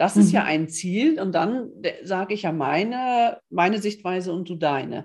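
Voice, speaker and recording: Speaking at a moderate pace, a woman with a medium pitch has an ordinary speaking voice and lively intonation. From northern Germany (Osnabrück). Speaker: coach, podcast co-host. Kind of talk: casual chat.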